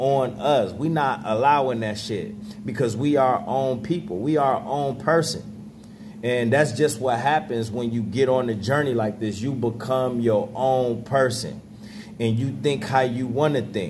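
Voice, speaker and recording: Pitch varying in an ordinary way, a man speaks fairly slowly as noticeable background noise continues. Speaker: vlogger. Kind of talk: casual vlog chat. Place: home room. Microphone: phone near.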